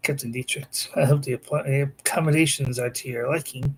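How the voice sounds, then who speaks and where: A man puts on a raspy character voice at a fairly high pitch. He speaks at a fairly quick pace with monotone, flat intonation. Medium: read story. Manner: formal, courteous.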